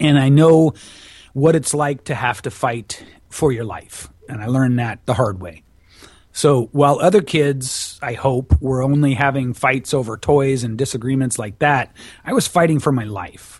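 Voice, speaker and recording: At a moderate pace, a somewhat breathy voice carries ordinary pitch variation. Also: man, medium pitch for a man. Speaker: public speaking and voice coach. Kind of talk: interview. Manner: animated.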